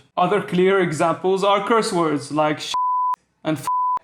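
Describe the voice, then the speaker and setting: A man's high-pitched voice with a Bahraini accent, at a moderate pace. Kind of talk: educational commentary to camera.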